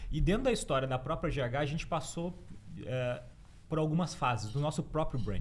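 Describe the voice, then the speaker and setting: The man speaks at a fairly quick pace with a fairly high pitch. Vocal fry runs through his voice. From Rio Grande do Sul, southern Brazil. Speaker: branding consultant, author. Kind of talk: podcast interview.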